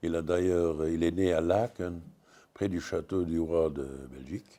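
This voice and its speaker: Speaking with a Luxembourgish accent, a man uses a very deep, low pitch and fairly even intonation at a fairly slow pace, in a very clean recording with a silent background. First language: Luxembourgish (speaking French). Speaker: comics writer. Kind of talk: panel discussion. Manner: halting, many hesitations.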